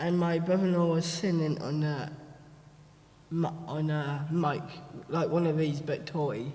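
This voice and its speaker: Noticeable background noise and audible room echo surround a man whose fairly high voice stays monotone, with flat intonation. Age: 20s. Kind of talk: panel talk presenting photo slideshow. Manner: slow.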